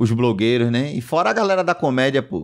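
A man with a Bahian accent speaks at a fairly quick pace with lively intonation over a quiet background. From Bahia, Brazil. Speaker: comedian. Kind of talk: casual chat. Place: studio. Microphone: studio mic.

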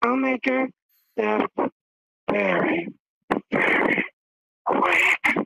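The speaker has a fairly high pitch and a very slow pace. Long pauses come often. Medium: game stream. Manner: taunting, menacing.

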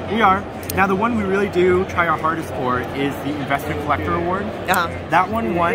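A man speaks at a fairly quick pace. Music plays in the background. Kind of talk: interview answer. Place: hall. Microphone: phone near.

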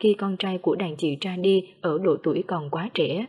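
A woman's dark, mellow tone at a medium pitch, with ordinary pitch variation. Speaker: news narrator. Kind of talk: news reading.

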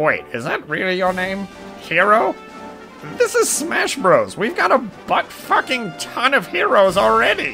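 Clear music plays in the background behind a cartoonish character voice. The delivery is fairly slow. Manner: indignant, sarcastic.

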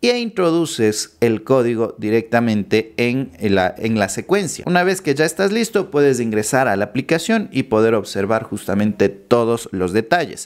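At a moderate pace and medium pitch, a man talks with lively intonation, very even loudness and hardly any pauses against a quiet background. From Ecuador. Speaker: YouTuber explaining finance apps. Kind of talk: tutorial. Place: home room. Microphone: studio mic.

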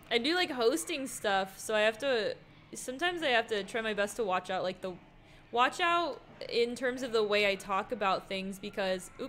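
With light background noise behind her, a woman with a fairly high pitch talks at a moderate pace in an animated tone with lively intonation. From not Texas. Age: 20s. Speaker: streamer and host; streamer, host. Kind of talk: casual gameplay livestream chat. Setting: livestream. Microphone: studio mic.

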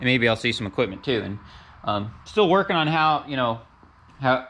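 At a moderate pace, a man with a medium pitch talks in a bright, sharp tone with lively intonation.

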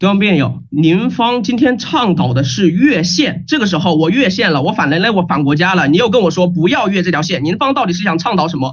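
Against a quiet background, a man speaks at a fairly quick pace in an animated tone with hardly any pauses. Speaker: university student debater; student debater, speaker. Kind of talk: competitive debate. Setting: video call.

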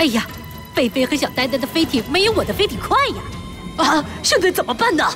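Over loud music in the background, a high-pitched, cartoonish character voice talks at a fairly quick pace. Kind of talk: animated cartoon dialogue. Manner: energetic, excited.

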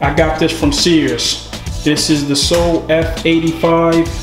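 Clear music plays behind a man as he talks. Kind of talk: casual vlog chat. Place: garage. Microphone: phone near.

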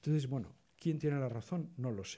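A man talks at a moderate pace, his voice somewhat breathy with a dark, mellow tone. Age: 60s. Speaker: photography historian on a panel. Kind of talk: panel discussion. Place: hall. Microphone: podium.

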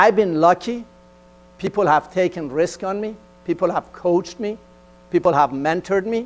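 A man with a Persian accent speaks at a high pitch. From Iran. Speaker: engineering executive. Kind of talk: motivational talk. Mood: earnest, personal storytelling. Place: stage. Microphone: lapel.

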